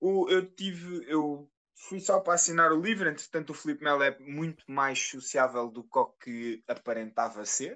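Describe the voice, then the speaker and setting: A man with an ordinary speaking voice, fairly high in pitch, with lively intonation, hardly any pauses and a moderate pace. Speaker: podcast co-host. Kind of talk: casual chat.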